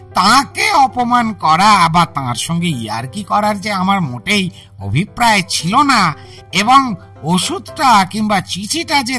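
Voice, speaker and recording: Over clear background music, a man performs a put-on character voice, high in pitch, raised and projected, with very wide pitch swings at a fairly slow pace. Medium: audio drama. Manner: anecdotal, conversational.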